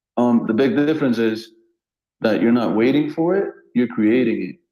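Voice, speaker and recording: A man with a dark, mellow tone speaks at a moderate pace in a medium pitch. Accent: non-native. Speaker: online show host. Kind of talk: casual chat. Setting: online audio room.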